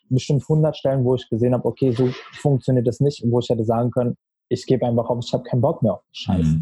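Speaking at a very fast pace, this man has a medium pitch, a dark, mellow tone, somewhat breathy delivery, fairly even intonation and big swings in loudness, recorded with a dry, close sound and no echo. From Berlin, Germany. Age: 20s. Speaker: marketing consultant. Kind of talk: podcast interview.

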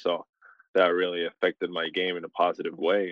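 A man speaks at a moderate pace in a low voice with little pitch movement, and the sound is dry and close with no echo.

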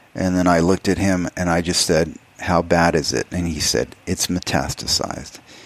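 Speaking at a moderate pace, a man with a very deep, low pitch and vocal fry keeps fairly even intonation. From Texas, El Paso. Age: 50s. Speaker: artist. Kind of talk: interview.

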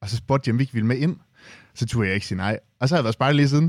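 A man's medium-pitched voice, with ordinary pitch variation, comes through a very clean recording with a silent background. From Denmark, Aalborg. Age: 20s. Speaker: youth representative at a retail cooperative. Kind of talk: interview. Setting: studio.

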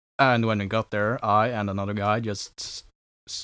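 Speaking in a Norwegian accent, a man with a fairly low pitch keeps a moderate pace. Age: young. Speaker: historical reenactor. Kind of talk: interview.

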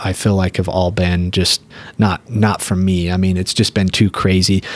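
In an American accent, a man with a very deep, low pitch talks at a fairly slow pace with fairly even intonation. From Utah. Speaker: business owner and foundation co-founder. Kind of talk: casual interview.

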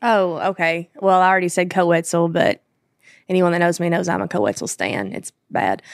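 A woman with a Kentucky accent speaks fairly quickly at a fairly low pitch, with ordinary pitch variation and a dry, close sound with no echo. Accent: Southern US (Kentucky). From Kentucky, small town. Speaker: country singer. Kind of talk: casual interview chat.

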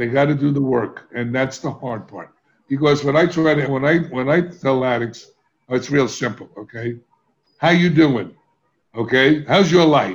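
With an American accent and an ordinary speaking voice, a man talks at a moderate pace in a fairly high pitch with ordinary pitch variation. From US inner city. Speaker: addiction recovery expert. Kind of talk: interview.

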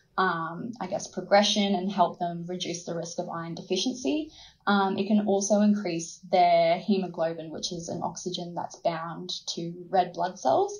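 A woman with an Australian accent speaks at a moderate pace in a fairly low, somewhat breathy voice, with fairly even intonation and big swings in loudness. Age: 20s. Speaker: midwife and nurse. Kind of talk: interview about pregnancy and birth.

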